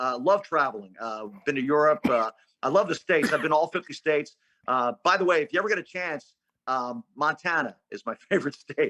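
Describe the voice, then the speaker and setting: A man talks at a fairly quick pace with a fairly high pitch and lively intonation. His tone is bright and sharp, and the sound is dry and close with no echo. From Philadelphia, US Northeast. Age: 60s. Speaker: sports radio play-by-play announcer. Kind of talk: casual interview chat.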